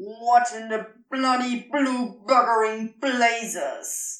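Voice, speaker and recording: A woman's shouting, gruff put-on character voice, high in pitch, monotone and flat, at a very slow pace. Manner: shouting, indignant.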